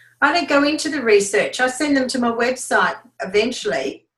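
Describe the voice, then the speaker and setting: Speaking with an Australian accent, a woman with a high pitch talks at a moderate pace with ordinary pitch variation. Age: 70s. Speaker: network marketing business leader. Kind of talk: team training talk.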